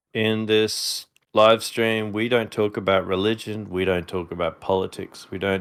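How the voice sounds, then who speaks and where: At a medium pace, a man speaks with fairly even intonation. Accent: Australian. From Queensland, Australia. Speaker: live stream co-host.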